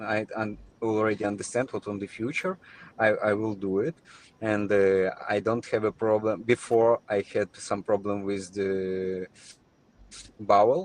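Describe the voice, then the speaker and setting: A man's fairly low voice, flat and monotone, at a fairly slow pace with long, frequent pauses. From Ukraine. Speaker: spinal cord injury patient. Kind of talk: interview. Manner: halting.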